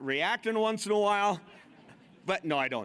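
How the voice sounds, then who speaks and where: Bright and sharp in tone, a man speaks at a high pitch with lively intonation. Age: 60s. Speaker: master of ceremonies and former radio host. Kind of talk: stage comedy storytelling. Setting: stage with audience at a convention. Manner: animated.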